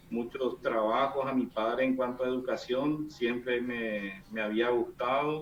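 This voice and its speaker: There is noticeable background noise as a man talks. His pitch is medium and his pace fairly slow. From Paraguay, interior. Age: 40s. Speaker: engineer giving testimony. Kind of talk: testimony. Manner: halting.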